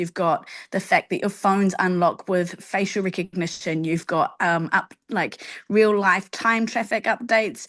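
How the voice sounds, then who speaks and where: Someone with a New Zealand accent talks at a fairly slow pace with ordinary pitch variation against a quiet background. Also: woman. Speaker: teacher. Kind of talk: casual chat.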